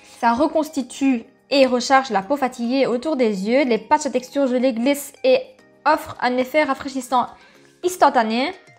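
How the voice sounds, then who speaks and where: Over music in the background, a woman speaks at a moderate pace and a high pitch with ordinary pitch variation. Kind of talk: product presentation.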